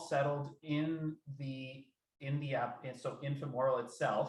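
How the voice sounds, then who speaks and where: A somewhat breathy voice with audible room echo. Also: man. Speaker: research program administrator. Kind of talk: work meeting discussion.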